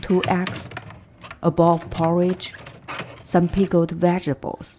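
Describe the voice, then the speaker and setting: Speaking at a very slow pace, a woman with a fairly low voice is heard over noticeable background noise. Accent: Chinese. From China. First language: Chinese. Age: 40s. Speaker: vlogger. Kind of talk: personal vlog narration. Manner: calm, reflective.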